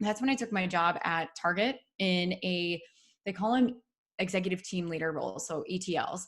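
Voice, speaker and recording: Speaking in a Midwestern US accent, a woman talks at a moderate pace and a medium pitch. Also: ordinary pitch variation. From US Midwest (Dubuque, Iowa). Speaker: entrepreneur, podcast founder. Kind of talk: interview.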